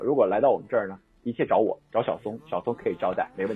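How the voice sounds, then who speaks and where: A man talking at a very fast pace. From Northeast China, Daqing, Heilongjiang. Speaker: radio presenter. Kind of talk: casual chat.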